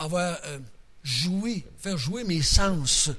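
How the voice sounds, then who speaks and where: Audible room echo surrounds a man whose high pitch varies in an ordinary way. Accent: Quebec. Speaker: Bible teacher. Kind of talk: Bible study teaching. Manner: casual, conversational.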